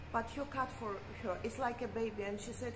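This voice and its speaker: Over noticeable background noise, a woman speaks at a moderate pace. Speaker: vlogger. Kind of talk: casual chat. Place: street. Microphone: phone near.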